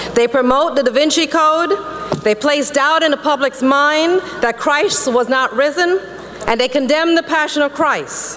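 A woman with a high-pitched voice speaks at a very even loudness over light background noise. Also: ordinary pitch variation, moderate pace. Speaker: politician, Florida lieutenant governor. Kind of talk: fiery religious speech to an audience. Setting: conference hall speech to a live audience. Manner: passionate, preaching. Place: hall. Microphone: podium.

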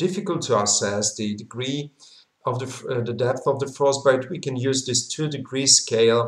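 A somewhat breathy male voice in audible room echo against a quiet background. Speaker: medical lecturer. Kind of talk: lecture. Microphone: webcam.

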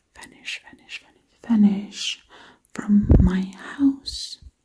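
Whispering in a Dutch accent, a woman speaks softly and breathily at a very slow pace. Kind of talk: ASMR whispering roleplay. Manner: breathy whisper, soft-spoken.

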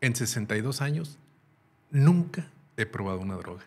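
Somewhat breathy, a man talks at a moderate pace with lively intonation. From Mexico. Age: 60s. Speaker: former military officer and police chief; podcast guest. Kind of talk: interview. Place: studio. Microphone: studio mic.

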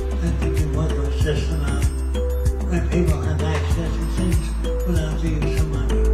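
A man's voice with audible room echo and loud music in the background. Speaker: inventor and social engineer. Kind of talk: interview answer. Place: home room.

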